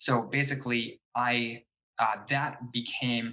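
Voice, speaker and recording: With an American accent, this man speaks at a medium pitch and with fairly even intonation. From New Jersey, US. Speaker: fitness and nutrition coach. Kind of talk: interview. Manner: halting.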